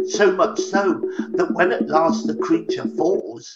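At a fairly slow pace, a man speaks while faint music plays behind him. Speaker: storyteller. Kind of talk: narrated essay talk. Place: home room. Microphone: webcam.

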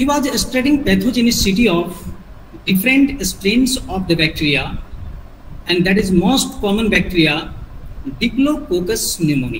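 A man's high voice with an Indian accent, very wide pitch swings, moderate pace and long, frequent pauses, over noticeable background noise. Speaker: biology teacher trainer. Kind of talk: lecture. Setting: video call. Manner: formal.

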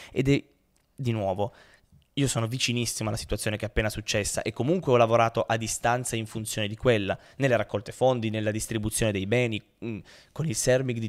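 A man talking at a very fast pace with fairly even intonation, over a quiet background. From Turin, northern Italy; northern Italy. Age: 20s. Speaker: pianist and humanitarian worker; podcast guest. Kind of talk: casual interview. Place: studio. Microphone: studio mic.

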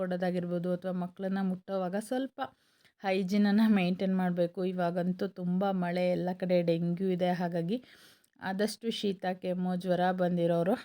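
This woman's voice sits at a medium pitch and has a dark, mellow tone. Her intonation stays monotone and flat. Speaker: vlogger. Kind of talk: vlog voice-over. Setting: at home.

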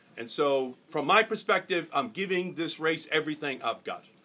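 This is a man speaking. His tone is bright and sharp. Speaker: candidate. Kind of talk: campaign stump speech. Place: cafe. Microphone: phone near.

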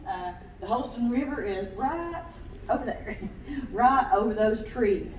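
Over light background noise and audible room echo, a woman talks with lively intonation at a fairly high pitch. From East Tennessee. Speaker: naturalist. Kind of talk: local history talk with slides. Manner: casual, hesitant. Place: hall. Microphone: camera far.

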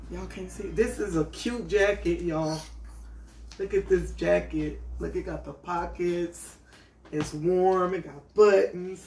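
Big swings in loudness amid audible room echo. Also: woman. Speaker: vlogger. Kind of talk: casual vlog chat.

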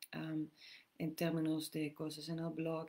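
This woman has a very deep, low pitch. Her pace is fairly slow. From Netherlands. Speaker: women's empowerment and meditation teacher. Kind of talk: live Q&A session. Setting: live stream, outdoors. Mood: calm, gentle. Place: home room. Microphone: webcam.

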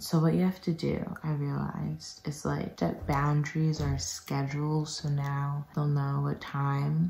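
Audible room echo surrounds a woman who talks at a fairly slow pace with hardly any pauses, her pitch very deep and low. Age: young. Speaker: peer health educator. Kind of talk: casual talk to camera. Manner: whispered. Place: home room. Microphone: phone near.

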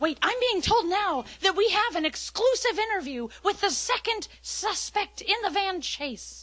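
This is a cartoonish character voice that sounds female, pitched extremely high for a woman. It moves at a moderate pace with hardly any pauses. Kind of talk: live TV news report. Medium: puppet show. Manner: dramatic, overeager.

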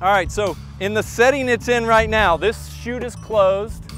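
A man talks at a moderate pace over clear music in the background. The sound is dry with no echo. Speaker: mower dealer demonstrator. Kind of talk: product tutorial. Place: garden. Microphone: lapel.

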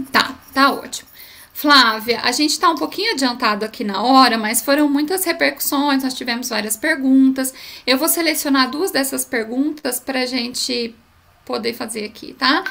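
A woman speaks in a raised, projected voice at a high pitch, moving at a moderate pace with ordinary pitch variation. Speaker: event moderator. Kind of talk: event moderation. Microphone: audio problems, some could not hear her; webcam.

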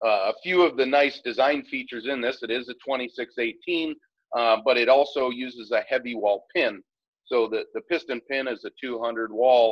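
At a moderate pace with ordinary pitch variation, a man speaks in a dry sound with no echo against a quiet background. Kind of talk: interview answer. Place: workshop.

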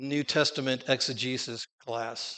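An American accent from a man, bright and sharp in tone, with fairly even intonation over a quiet background. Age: 60s. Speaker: preacher; conference speaker. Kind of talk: sermon. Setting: stage with audience. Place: church.

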